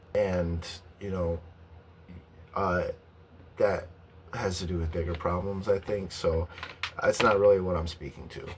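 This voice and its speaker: A man with a very deep, low pitch and monotone, flat intonation, at a fairly slow pace with long, frequent pauses, over noticeable background noise. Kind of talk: casual talk to camera.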